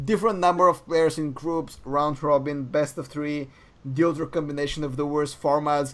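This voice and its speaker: With music in the background, a man with a non-native accent speaks at a moderate pace, his pitch fairly high and his intonation fairly even. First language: not English. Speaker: esports podcast co-host. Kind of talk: casual podcast chat. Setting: live-streamed podcast.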